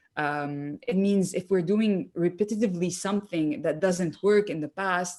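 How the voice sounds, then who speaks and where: In a French accent, a woman speaks at a moderate pace and medium pitch, with ordinary pitch variation, on a very clean recording with a silent background. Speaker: political leadership candidate. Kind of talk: interview. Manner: halting, many fillers.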